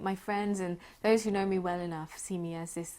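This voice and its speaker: On a very clean recording with a silent background, a woman speaks in a southern English accent. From southern England, Crawley. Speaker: architect. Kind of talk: oral history interview. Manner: halting.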